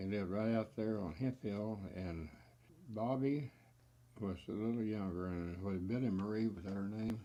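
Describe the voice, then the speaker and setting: With a Texan accent, a man speaks at a moderate pace. His tone is dark and mellow, his pitch fairly low. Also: ordinary pitch variation. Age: 80s+. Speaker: family storyteller. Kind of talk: interview answer.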